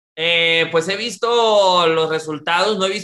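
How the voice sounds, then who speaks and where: The voice has a bright, sharp tone. Its pitch variation is ordinary. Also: man. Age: 20s. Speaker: freestyle rapper. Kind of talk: interview.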